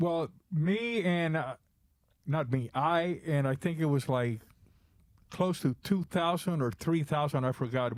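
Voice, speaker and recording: With a Spanish accent, a man talks in a fairly high pitch. His pace is fairly slow, with long, frequent pauses. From Cuba, raised in Florida from age ten. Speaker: drummer and drum bag maker. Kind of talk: podcast interview. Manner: halting, with restarts.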